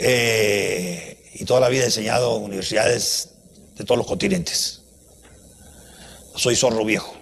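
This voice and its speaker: The speaker moves at a fairly slow pace with long, frequent pauses and ordinary pitch variation. Noticeable background noise runs underneath. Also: man, medium pitch for a man. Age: 80s+. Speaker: university professor, lecturer. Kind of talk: lecture. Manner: animated.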